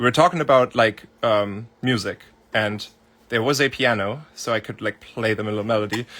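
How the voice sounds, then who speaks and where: A man with a German accent and a bright, sharp tone speaks at a medium pitch and a moderate pace with ordinary pitch variation. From Germany. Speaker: music producer. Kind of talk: livestream Q&A. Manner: casual, filler-heavy.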